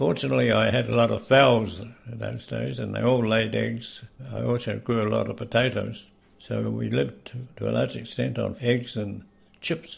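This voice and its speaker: At a moderate pace, a man talks. He has a New Zealand accent. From New Zealand, Canterbury (Lyttelton). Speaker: retired waterfront worker and historian. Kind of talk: interview testimony.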